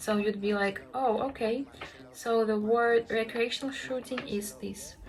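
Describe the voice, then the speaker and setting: Delivery is fairly slow. Intonation holds fairly even. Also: woman, fairly high pitch for a woman. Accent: Russian. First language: Russian. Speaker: language learning vlogger. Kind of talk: tutorial. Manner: hesitant, many fillers.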